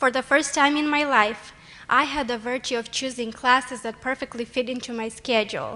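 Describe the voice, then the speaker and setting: In a Romanian accent, a woman uses a raised, projected voice with a high pitch and a bright, sharp tone. She keeps a moderate pace and fairly even intonation. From Moldova. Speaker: college student, award nominee. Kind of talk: award speech. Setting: stage with audience. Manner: formal.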